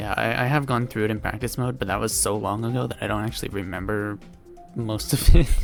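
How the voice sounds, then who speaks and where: Over music in the background, a man with a fairly low pitch speaks at a very fast pace with ordinary pitch variation. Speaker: gaming video creator. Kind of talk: casual gameplay commentary.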